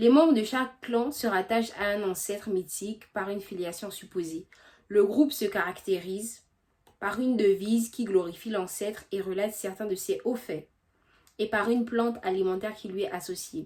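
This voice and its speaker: Here is a woman with a normal speaking voice. Her pitch varies in an ordinary way. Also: medium pitch for a woman, moderate pace. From Gabon. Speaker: history youtuber. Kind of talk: casual explanation; scripted narration.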